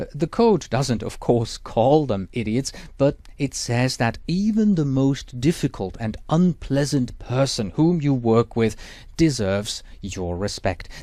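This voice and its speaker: A man with a Swiss German accent, medium in pitch, with a dark, mellow tone, very wide pitch swings and a fairly slow pace, on a very clean recording against a silent background. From Switzerland. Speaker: exam prep instructor. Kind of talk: lecture.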